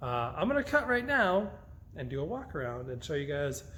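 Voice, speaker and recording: The voice has ordinary pitch variation, with audible room echo. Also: man. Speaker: drift car builder and YouTuber. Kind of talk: casual vlog walkaround. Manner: casual, many filler words; fast.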